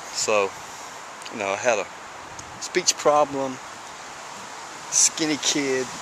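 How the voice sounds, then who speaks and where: Over noticeable background noise, a speaker in a Southern US accent talks very slowly with ordinary pitch variation and long, frequent pauses. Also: man, medium pitch for a man. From US South, small town. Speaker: person in addiction recovery. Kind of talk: personal testimony vlog. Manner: repetitive, halting at times.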